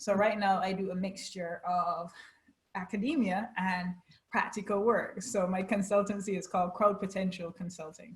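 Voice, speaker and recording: A woman speaks with a medium pitch, fairly even intonation, and a somewhat breathy voice. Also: moderate pace. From Barbados. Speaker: HR lecturer and consultant. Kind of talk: interview.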